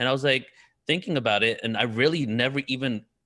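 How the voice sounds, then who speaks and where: In a bright, sharp tone with an American accent, a man talks at a very fast pace with ordinary pitch variation against a quiet background. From England, then California from age 12. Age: 30s. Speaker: spiritual event organizer and researcher. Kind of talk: panel discussion.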